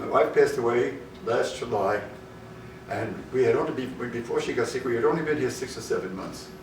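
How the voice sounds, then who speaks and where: The voice has an American accent, with noticeable background noise and audible room echo. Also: man. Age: 80s+. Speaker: senior center member. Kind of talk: testimonial interview.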